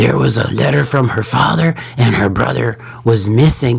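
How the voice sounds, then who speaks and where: Using a raspy, put-on character voice, a man speaks at a moderate pace and medium pitch. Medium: actual play. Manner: stammering, timid.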